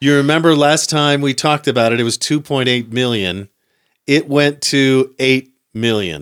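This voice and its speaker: A man talks at a moderate pace in an unremarkable speaking voice. The sound is dry and close, with no echo. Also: medium pitch for a man, ordinary pitch variation, very clean recording, silent background. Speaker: podcast host. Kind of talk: casual chat.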